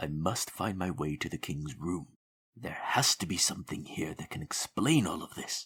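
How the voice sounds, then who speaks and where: Whispering in a put-on character voice, a man keeps a moderate pace. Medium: audio drama.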